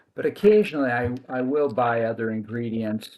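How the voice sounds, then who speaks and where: Speech comes at a fairly slow pace over a quiet background. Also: man. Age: 60s. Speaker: cooking video maker. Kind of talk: cooking demonstration. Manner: halting, with many fillers and restarts.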